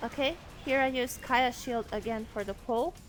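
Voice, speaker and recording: Over music in the background, a woman speaks in a high voice. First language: not English. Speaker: game guide narrator. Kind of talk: gameplay tutorial voice-over.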